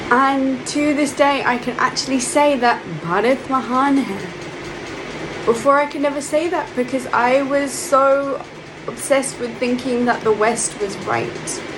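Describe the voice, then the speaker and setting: A woman's high voice with a London accent at a fairly slow pace and ordinary pitch variation, with noticeable background noise and audible room echo. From London, England. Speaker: monk. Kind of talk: spiritual talk. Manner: hesitant, with filler words.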